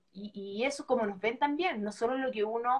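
This woman speaks with a Chilean accent. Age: 40s. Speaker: former TV presenter. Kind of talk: casual chat.

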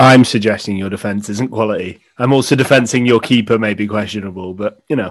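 In a normal speaking voice, a man talks at a fairly quick pace with hardly any pauses, his pitch fairly low and his intonation fairly even. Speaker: podcast host. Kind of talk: casual chat.

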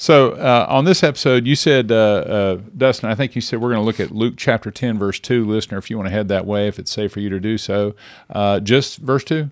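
On a very clean recording with a silent background, a man talks in an ordinary speaking voice, medium in pitch, at a fairly quick pace with ordinary pitch variation and hardly any pauses. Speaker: podcast host and pastor. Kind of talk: casual Bible discussion podcast.

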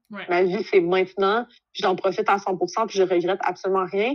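Against a quiet background, a woman speaks at a medium pitch and a moderate pace. Her intonation is monotone and flat. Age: 30s. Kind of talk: casual chat. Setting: video call.

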